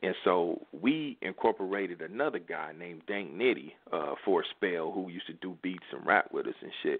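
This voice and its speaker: Speaking in an American accent, a man keeps to a moderate speed. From US Midwest, Kansas City, Missouri. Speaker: rapper. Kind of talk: interview. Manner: casual.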